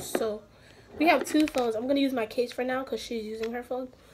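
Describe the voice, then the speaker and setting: A woman is heard with noticeable background noise. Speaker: vlogger. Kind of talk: casual vlog chat. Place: home room. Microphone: phone near.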